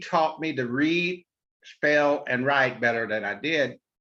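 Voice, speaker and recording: A man with an American accent speaks at a fairly slow pace, his pitch fairly high. His tone is bright and sharp, with ordinary pitch variation. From southeast Missouri (near Poplar Bluff), rural. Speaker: author and storyteller. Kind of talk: interview. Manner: hesitant, with many fillers.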